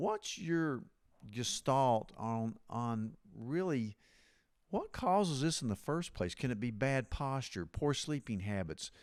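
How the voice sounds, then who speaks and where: A man with an American accent talks fairly slowly at a medium pitch, his pitch swinging very widely. The recording is very clean, and the background is silent. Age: 60s. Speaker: podcast host and physician. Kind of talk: interview.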